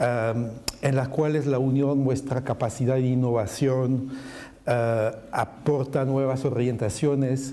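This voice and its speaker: In a French accent, a man speaks very slowly in a medium pitch, flat and monotone, at very even loudness, with audible room echo. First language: French (speaking Spanish). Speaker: macroeconomist panelist. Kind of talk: panel presentation.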